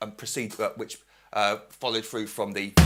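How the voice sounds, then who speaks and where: Bright and sharp in tone, the man's voice comes through. He keeps a fairly quick pace. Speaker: drum teacher. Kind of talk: tutorial.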